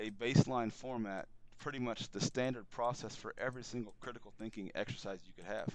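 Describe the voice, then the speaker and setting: His voice sits at a medium pitch for a man. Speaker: author and entrepreneur. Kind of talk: political talk show interview. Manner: fast; animated.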